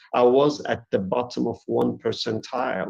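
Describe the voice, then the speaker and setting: The speaker has a Turkish accent and keeps a moderate pace. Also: man. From Eastern Turkey. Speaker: academic author. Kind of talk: lecture. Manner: halting.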